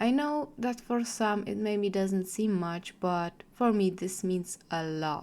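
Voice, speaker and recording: With a non-native accent, a woman speaks at a very slow pace with ordinary pitch variation. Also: medium pitch for a woman, hardly any pauses. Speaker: artist and storyteller. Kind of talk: casual talk to camera.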